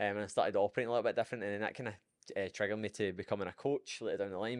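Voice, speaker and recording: A man with a Scottish accent speaks at a fairly low pitch against a quiet background. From Scotland. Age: 20s. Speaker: fitness coach. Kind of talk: podcast interview. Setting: studio. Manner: animated.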